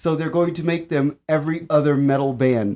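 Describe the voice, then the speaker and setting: A man speaks with an American accent in a normal speaking voice. His pitch is fairly high, with ordinary pitch variation. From Washington DC, US. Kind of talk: casual chat.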